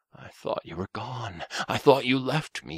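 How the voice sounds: A man's raspy, shaky, put-on character voice of medium pitch, at a moderate pace with lively intonation, in a dry, close sound with no echo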